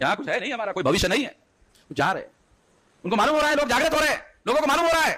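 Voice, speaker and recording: The voice is raised and projected, with lively intonation. Long pauses come often. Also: man, extremely high pitch for a man. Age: 60s. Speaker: activist leader. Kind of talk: public speech.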